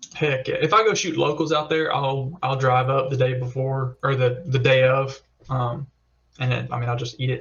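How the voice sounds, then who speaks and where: Fairly even intonation marks a man's medium-pitched voice, which keeps a moderate pace. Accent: Southern US. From US South, Alabama (Tuscaloosa). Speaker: competitive pistol shooter. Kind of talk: podcast interview. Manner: casual, many fillers.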